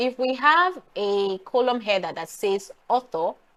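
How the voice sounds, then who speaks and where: A woman with a Nigerian accent and very wide pitch swings. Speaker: data analytics YouTuber. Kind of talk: tutorial. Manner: casual, hesitant with fillers.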